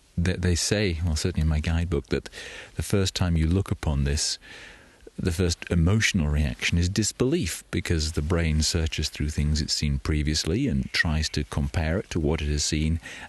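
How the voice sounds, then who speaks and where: A man's very deep, low voice, somewhat breathy, with very even loudness, ordinary pitch variation and a moderate pace, dry and close with no echo against a quiet background. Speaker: hiker and podcast host. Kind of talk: audio diary. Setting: outdoors. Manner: whispering.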